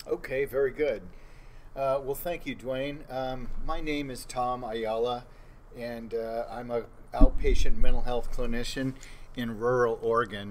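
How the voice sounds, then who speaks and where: At a fairly slow pace, a man with an unremarkable speaking voice and medium pitch talks with fairly even intonation but big swings in loudness. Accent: American. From Southern California. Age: 60s. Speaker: mental health clinician. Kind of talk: interview podcast. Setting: live on-location recording at a conference.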